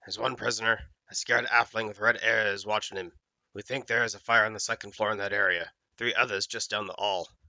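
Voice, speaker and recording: Using a put-on character voice, a man rattles along at a very fast pace, raspy and at medium pitch. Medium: read story. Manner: blunt, gruff.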